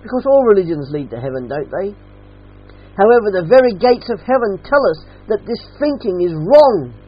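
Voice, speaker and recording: Talking at a fairly quick pace in an Australian accent, a man uses a high pitch with very wide pitch swings and big swings in loudness. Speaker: preacher. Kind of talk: sermon. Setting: church.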